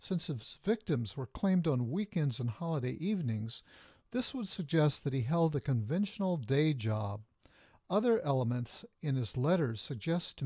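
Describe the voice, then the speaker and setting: A man talks at a moderate pace in a fairly high, somewhat breathy voice. His tone is dark and mellow, and his intonation is lively. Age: 60s. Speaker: psychologist and author. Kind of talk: reading aloud from own book. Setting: webcam video at home.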